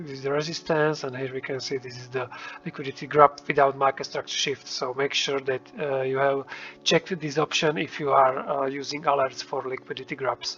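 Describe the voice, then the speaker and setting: Over noticeable background noise, a man with a fairly high pitch speaks in a monotone, flat intonation, his loudness swinging widely. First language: not English. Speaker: trading indicator developer. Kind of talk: tutorial. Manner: hesitant, many fillers.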